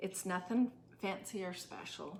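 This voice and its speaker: A soft-spoken woman at a fairly slow pace, fairly even intonation, and noticeable background noise. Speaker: craft tutorial host. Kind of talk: tutorial. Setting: temporary room away from home, neighbors nearby.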